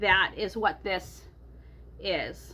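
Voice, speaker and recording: A bright, sharp tone with vocal fry. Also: woman. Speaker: personal finance vlogger. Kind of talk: budget walkthrough vlog. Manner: loud.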